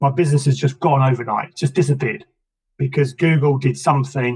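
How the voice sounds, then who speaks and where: In an English accent, the speaker talks at a moderate pace with a somewhat breathy voice and fairly even intonation. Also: man. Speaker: business coach. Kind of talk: interview conversation.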